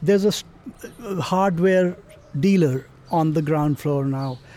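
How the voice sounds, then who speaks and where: Over noticeable background noise, a man speaks fairly slowly in a fairly high pitch. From Pakistan, Punjab. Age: 50s. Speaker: travel writer. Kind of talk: personal storytelling.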